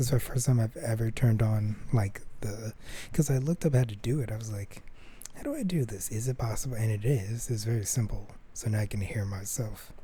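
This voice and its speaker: The voice is quiet. It moves at a moderate pace. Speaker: solo podcaster. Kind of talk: casual monologue. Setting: home recording, thin walls. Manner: speaking quietly; rambling, halting.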